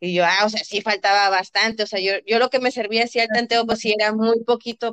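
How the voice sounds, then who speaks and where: A woman speaks fairly quickly in a normal speaking voice, with hardly any pauses and a fairly high pitch. The sound is dry and close, with no echo. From Reynosa, Tamaulipas, northern Mexico. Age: 20s. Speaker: athlete and physiotherapist. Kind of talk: interview.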